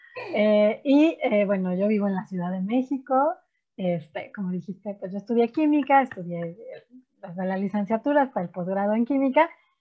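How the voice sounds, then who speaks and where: At a moderate pace, a woman with a Mexican accent speaks at medium pitch, somewhat breathy, with lively intonation. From Mexico. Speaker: chemist and science teacher. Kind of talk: interview.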